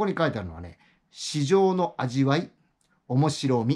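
Over a quiet background, a man with a fairly high pitch speaks at a moderate pace. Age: 60s. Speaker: YouTuber, retired office worker; YouTuber. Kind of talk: casual monologue; casual vlog chat. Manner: halting, many fillers. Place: home room. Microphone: phone near.

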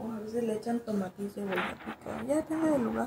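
A woman's quick-paced, lively voice with vocal fry and a slightly mellow tone, over faint background noise. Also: fairly high pitch for a woman.

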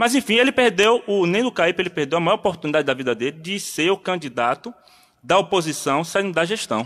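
His pace is very fast as this man talks. The pitch of his voice swings very widely. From Bahia, Brazil. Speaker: community activist; interview guest. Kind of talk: radio interview. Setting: studio. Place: studio. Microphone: studio mic.

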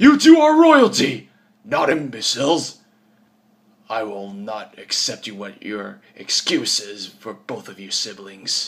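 A man uses a put-on character voice and talks at a fairly slow pace. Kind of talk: character voice audition. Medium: voice reel. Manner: stern, grave.

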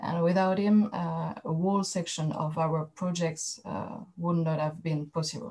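A woman's fairly low, somewhat breathy voice with a dark, mellow tone, a French accent, fairly even intonation and a fairly slow pace. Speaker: archaeologist. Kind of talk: academic presentation. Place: home room. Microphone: webcam.

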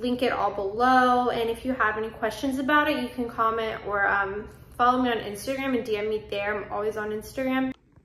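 Amid audible room echo, a woman speaks at a fairly quick pace with fairly even intonation. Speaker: home vlogger. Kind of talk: casual vlog chat. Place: home room. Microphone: phone near.

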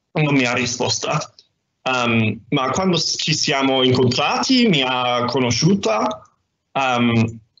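Over light background noise and audible room echo, a man speaks very slowly with very even loudness and ordinary pitch variation. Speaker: doctoral student. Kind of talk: presentation. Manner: halting, many hesitations. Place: home room. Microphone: video call.

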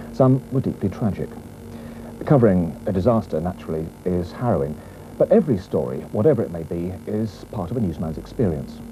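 Over background music, a man with a very deep, low voice talks at a fairly quick pace, swinging his pitch very widely and pausing long and often. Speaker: TV reporter narrating retrospective. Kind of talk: 1980s regional TV news feature voiceover, scripted narration. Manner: wry, polished, dryly witty, measured pace. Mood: calm, measured, solemn at times. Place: studio. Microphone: lapel.

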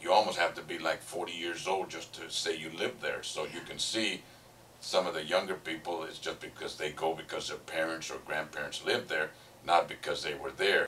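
A man talks at a moderate pace, his loudness swinging widely. Noticeable background noise can be heard. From Northern California. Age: 60s. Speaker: former resident of a demolished town. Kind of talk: interview reminiscence.

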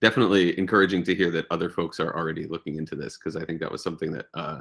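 A man's very deep, low voice with vocal fry and ordinary pitch variation, against a quiet background. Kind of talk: meeting discussion. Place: home room. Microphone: video call.

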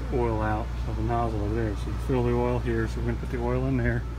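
A man speaks over noticeable background noise. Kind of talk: tutorial. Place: garage. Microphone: phone near.

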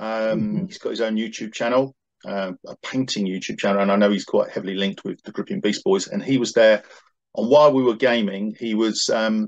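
Fairly quick speech over a quiet background. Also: man. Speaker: hobby gamer reviewing an event. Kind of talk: casual conversation. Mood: relaxed, amused. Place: home room. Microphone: video call.

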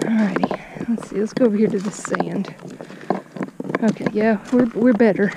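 A woman is speaking amid noticeable background noise. The sound is dry with no echo. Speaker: fishing vlogger. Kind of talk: casual vlog chat. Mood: amused, cautious. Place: waterside. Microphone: phone near.

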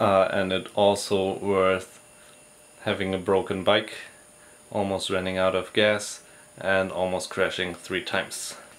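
A man with a very deep, low voice speaks in a flat monotone, leaving long, frequent pauses. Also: fairly slow pace. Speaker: travel vlogger. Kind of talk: casual vlog chat. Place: home room. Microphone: phone near.

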